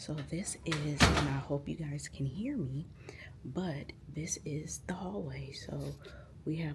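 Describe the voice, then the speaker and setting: A woman whispers at a very slow pace with vocal fry and audible room echo. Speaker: therapy student intern and vlogger. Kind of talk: casual vlog tour. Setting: indoor office building. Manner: whispering.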